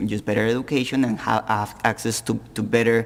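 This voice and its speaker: The speaker has a slight Colombian accent. Noticeable background noise is present. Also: man. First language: Spanish. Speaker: panelist. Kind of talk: panel discussion. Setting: public forum with audience. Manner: halting, repeats words.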